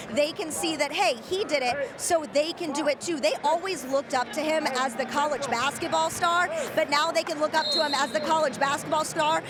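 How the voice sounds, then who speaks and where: Through noticeable background noise, a woman with a high pitch talks fairly quickly with ordinary pitch variation. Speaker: sports reporter and host. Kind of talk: TV sports reporter package narration.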